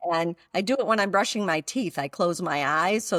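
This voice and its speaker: On a very clean recording with a silent background and a dry, close sound with no echo, a woman with an unremarkable speaking voice talks at a fairly quick pace with ordinary pitch variation. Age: 60s. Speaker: mindfulness teacher and author. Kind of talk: podcast interview.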